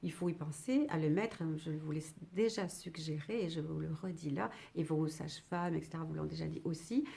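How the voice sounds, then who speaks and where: With a dark, mellow tone and vocal fry, a woman talks at a moderate pace in a very deep, low voice with ordinary pitch variation. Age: 60s. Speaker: retired midwife. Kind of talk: educational talk to camera. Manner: halting, with many fillers.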